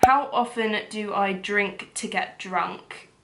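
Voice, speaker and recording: A woman at medium pitch uses ordinary pitch variation, with audible room echo around her. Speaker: lifestyle vlogger. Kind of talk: casual Q&A vlog.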